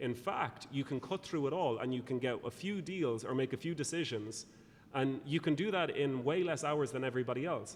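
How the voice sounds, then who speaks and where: A man talks at a fairly quick pace in an Irish accent. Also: fairly high pitch for a man, ordinary pitch variation. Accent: Irish, engaging lilt. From Ireland. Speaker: speaker and consultant on productivity. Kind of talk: interview.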